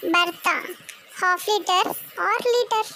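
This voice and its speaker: A put-on character voice comes out squeaky at an extremely high pitch. Background noise is clearly heard. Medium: read story. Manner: deadpan, questioning.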